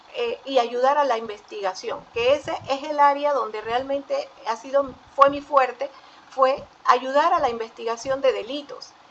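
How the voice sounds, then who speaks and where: A high-pitched woman's voice at a fairly slow pace with ordinary pitch variation, amid noticeable background noise. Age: 60s. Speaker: forensic psychologist. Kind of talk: panel talk. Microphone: audio slightly distorted.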